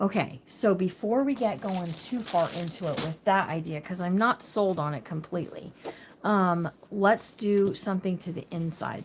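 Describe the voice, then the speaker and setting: Here a woman talks at a moderate pace in a medium pitch. Her pitch variation is ordinary. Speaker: crafting channel host. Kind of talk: live-stream craft tutorial. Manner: casual, chatty; loud.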